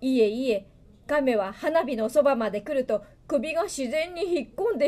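Pitched high, a woman speaks at a moderate pace with lively intonation and a dark, mellow tone.

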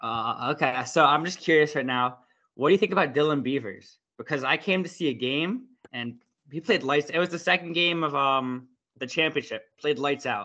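Over a quiet background, a man with a fairly high pitch and a bright, sharp tone talks at a moderate pace with ordinary pitch variation. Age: young. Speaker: podcast host. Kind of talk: interview.

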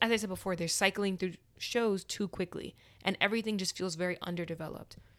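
Her a plain, everyday voice, medium in pitch, runs at a fairly quick pace with fairly even intonation as this woman speaks. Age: 20s. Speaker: podcast host. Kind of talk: solo casual monologue.

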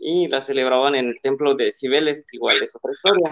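A man speaks at a moderate pace. His pitch is fairly high for a man. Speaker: podcast co-host. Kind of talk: casual chat.

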